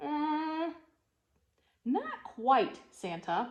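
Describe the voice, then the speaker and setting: A woman performs a put-on character voice. Her pitch is high. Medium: read story. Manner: hesitant.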